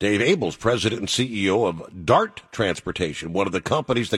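With a plain, everyday voice, a man speaks at a fairly low pitch and a moderate pace, his intonation lively. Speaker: talk radio host for truckers. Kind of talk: call-in radio talk show. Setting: studio. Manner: casual, filler-heavy.

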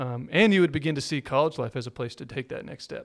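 This man has an unremarkable speaking voice, pitched fairly high for a man. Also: very clean recording, silent background. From Texas. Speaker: pastor. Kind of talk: casual chat.

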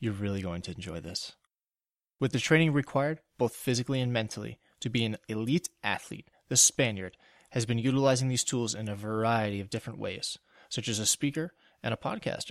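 A man with an ordinary speaking voice talks at a fairly quick pace, medium in pitch with ordinary variation. The recording is very clean with a silent background and a dry, close sound with no echo. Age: 30s. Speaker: podcast host. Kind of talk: casual interview; scripted intro.

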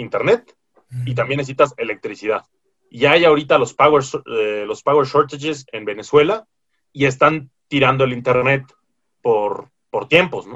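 At a moderate pace, an unremarkable speaking voice carries ordinary pitch variation. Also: man, fairly high pitch for a man. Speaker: podcast co-host. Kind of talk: casual chat.

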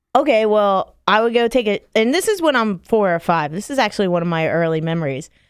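Very fast, very wide-ranging speech from a woman with an American accent, hardly any pauses, on a very clean recording with a silent background. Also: medium pitch for a woman. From Florida, Palm Beach County. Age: 30s. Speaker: podcast co-host. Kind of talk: casual chat.

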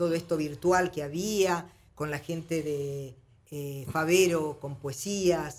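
A woman with an ordinary speaking voice, fairly low in pitch, with fairly even intonation. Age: 60s. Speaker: singer. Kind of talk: interview.

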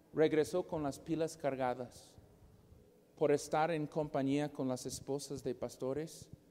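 A man speaks at a fairly slow pace with an English accent. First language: English (speaking Spanish). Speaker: preacher. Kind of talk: sermon. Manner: halting, repeats words.

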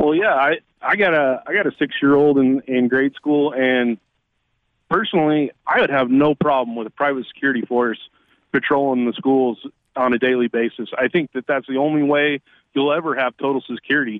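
A man with an ordinary speaking voice talks at a fairly quick pace, using a fairly high pitch with ordinary pitch variation. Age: 60s. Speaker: caller. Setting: phone call.

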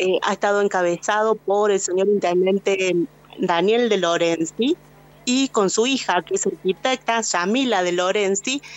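In a plain, everyday voice, a woman speaks at a fairly slow pace and medium pitch, with ordinary pitch variation and very even loudness. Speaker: radio reporter. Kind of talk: radio field report. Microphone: voice echoes a little.

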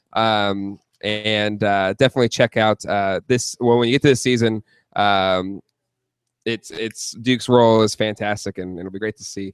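Recorded very cleanly with a silent background and a dry, close sound with no echo, a man speaks in a fairly low voice at a moderate pace with fairly even intonation. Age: 30s. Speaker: podcast host. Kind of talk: announcement; casual chat. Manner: hesitant with many fillers.

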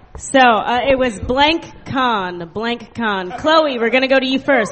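Crowd noise fills the background as a woman talks at a fairly slow pace in a high pitch. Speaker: comedy show host. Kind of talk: live comedy show banter. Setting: stage with audience.

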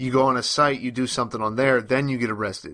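At a fairly quick pace, a man with a bright, sharp tone and medium pitch is heard on a very clean recording with a silent background. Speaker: podcast co-host. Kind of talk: casual banter podcast. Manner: joking, self-deprecating.

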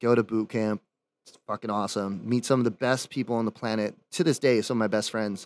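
A normal speaking voice from a man with an American accent, medium pitch, and big swings in loudness, very clean with a silent background and a dry, close sound without echo. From Germany and Maryland. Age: 30s. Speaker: rock musician. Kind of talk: casual chat.

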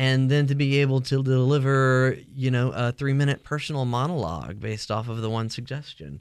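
With a normal speaking voice, a man talks at a fairly quick pace in an American accent, keeping a medium pitch and hardly any pauses over a quiet background. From US South. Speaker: improv comedy teacher. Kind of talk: casual interview.

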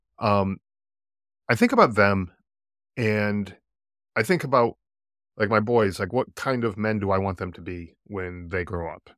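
On a very clean recording with a silent background, a man with a fairly low pitch speaks at a fairly slow pace with fairly even intonation, big swings in loudness, and long, frequent pauses. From US East Coast. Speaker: podcast host, military veteran. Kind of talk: casual interview chat.

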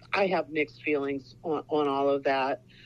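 With a Midwestern US accent, a woman talks at a fairly slow pace and a very deep, low pitch. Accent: US Midwest. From Ohio. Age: 60s. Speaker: author. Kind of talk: interview.

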